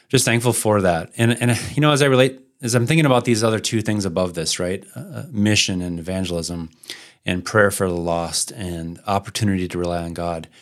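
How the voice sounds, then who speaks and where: In an unremarkable speaking voice, a man with a fairly low pitch talks at a fairly quick pace with lively intonation, on a very clean recording with a silent background. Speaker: podcast host and church planter. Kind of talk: podcast conversation about church planting.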